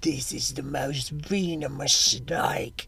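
A put-on character voice, raspy and low-to-middle in pitch, with an Australian accent at a very slow pace over light background noise

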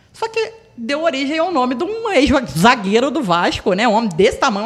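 A woman speaks at a fairly quick pace with hardly any pauses, her high pitch swinging very widely. Noticeable background noise runs underneath. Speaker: podcast guest. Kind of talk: casual chat.

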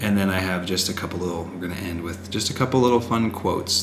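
A man's very deep, low voice at a very fast pace, fairly even intonation, and noticeable background noise. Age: 30s. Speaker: podcast co-host, husband. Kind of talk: casual chat. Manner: loud.

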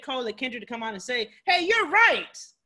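A woman's raised, projected voice, high in pitch and bright and sharp in tone, with very wide pitch swings at a fairly quick pace. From Cleveland, Ohio, US. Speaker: podcast host, real estate wholesaler. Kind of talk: casual interview chat.

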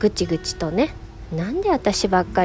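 A woman at a moderate pace with very wide pitch swings, music in the background. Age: 40s. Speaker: illustrator and podcast host. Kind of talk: casual solo monologue. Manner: frequent laughter.

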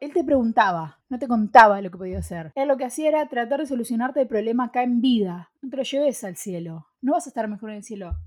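The pace is very fast with hardly any pauses. Loudness swings widely. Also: woman, fairly high pitch for a woman, lively intonation. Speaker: podcast co-host. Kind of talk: casual chat. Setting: studio.

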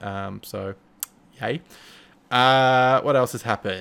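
This man has an Australian accent. His intonation stays fairly even. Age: 30s. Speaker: podcast host. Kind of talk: casual chat. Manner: halting.

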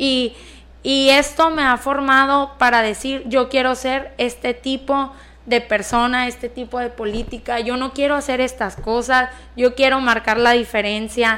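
Fairly slow speech from a woman, high-pitched, with a bright, sharp tone and monotone, flat intonation. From Mexico, southern Sinaloa (Escuinapa). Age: 20s. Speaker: local councillor. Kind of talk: radio talk show interview. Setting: radio studio, also streamed on Facebook Live.

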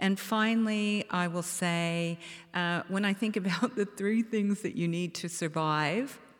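In a very clean recording with a silent background, a woman uses a normal speaking voice at a fairly slow pace with ordinary pitch variation. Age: 60s. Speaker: beverage company co-founder. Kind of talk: panel discussion. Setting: stage with audience.

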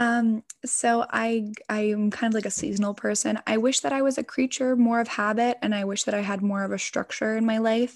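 A woman with an American accent and a normal speaking voice talks at a fairly high pitch and a fairly quick pace, with fairly even intonation. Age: 20s. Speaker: ASMR content creator. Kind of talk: casual interview chat. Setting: remote call.

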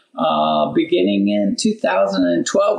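A man with a Midwestern American accent, amid noticeable background noise. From southern Indiana. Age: 70s. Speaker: farmer. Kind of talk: interview.

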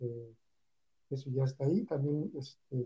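This man's voice is fairly high in pitch, dark and mellow in tone, and somewhat breathy. He talks at a very slow pace with fairly even intonation. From Texcala, Puebla, Mexico. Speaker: mezcal and salt producer. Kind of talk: interview.

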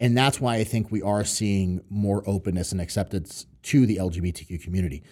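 A fairly quick speaker with an American accent uses a dark, mellow tone, ordinary pitch variation and hardly any pauses. The recording is very clean, with a silent background. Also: man, fairly low pitch for a man. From New York and Connecticut, US Northeast. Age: 30s. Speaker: professional strongman. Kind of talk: casual podcast interview.

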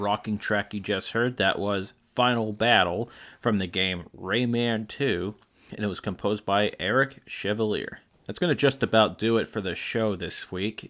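A man with a plain, everyday voice speaks at a fairly low pitch, with fairly even intonation and a moderate pace. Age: 20s. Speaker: video game music podcast host. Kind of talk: casual music show presenting.

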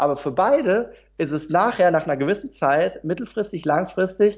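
A man at a moderate pace. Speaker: motivational speaker and trainer. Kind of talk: interview. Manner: calm.

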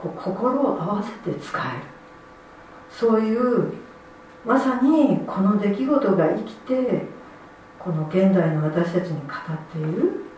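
Amid audible room echo and noticeable background noise, a woman at a medium pitch speaks at a very slow pace with long, frequent pauses and very wide pitch swings. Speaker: lay preacher. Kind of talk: sermon. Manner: halting.

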